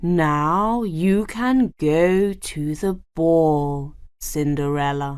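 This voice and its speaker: Speaking very slowly, a woman uses a put-on character voice with a fairly low pitch and a gentle tone. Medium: read story. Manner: gentle, kind.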